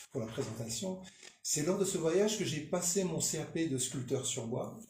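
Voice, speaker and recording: Audible room echo surrounds a man speaking at a moderate pace in a fairly high pitch with lively intonation. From northern France, Lille. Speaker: sculptor. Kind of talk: radio interview. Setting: radio studio. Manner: hesitant.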